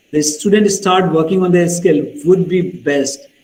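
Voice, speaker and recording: Moderate-paced speech from a man with a high pitch and ordinary pitch variation. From India. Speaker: pharmacist speaking on careers abroad. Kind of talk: webinar Q&A talk.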